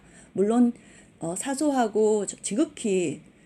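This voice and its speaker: Very wide pitch swings in a woman's dark, mellow tone. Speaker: university English instructor. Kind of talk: online lecture. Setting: recorded online class.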